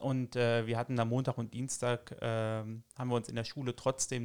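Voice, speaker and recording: With dry, close sound and no echo, a man speaks in a normal speaking voice at medium pitch and a moderate pace on a very clean recording with a silent background. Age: 30s. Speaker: teacher. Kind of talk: casual interview.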